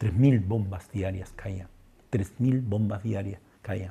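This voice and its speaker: Somewhat breathy and dark, mellow in tone, a man speaks at a fairly low pitch. His pace is fairly slow, with ordinary pitch variation. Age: 60s. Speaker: psychologist and humanitarian volunteer. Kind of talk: testimony. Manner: halting, with repetitions.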